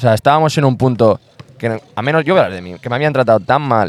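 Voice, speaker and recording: Over noticeable background noise, the speech comes at a very fast pace with ordinary pitch variation. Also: man. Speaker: basketball coach. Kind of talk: casual interview chat. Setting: outdoor basketball court.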